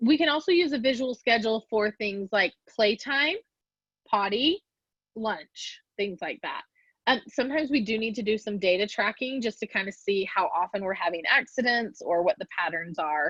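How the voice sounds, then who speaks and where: A normal speaking voice from a woman, fairly high in pitch, lively in intonation, at a moderate pace, with dry, close sound and no echo. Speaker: developmental specialist presenter. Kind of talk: lecture. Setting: virtual presentation.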